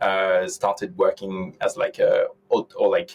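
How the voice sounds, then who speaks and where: This man speaks with a French accent. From France, south of Paris. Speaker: tech entrepreneur. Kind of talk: interview conversation. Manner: halting.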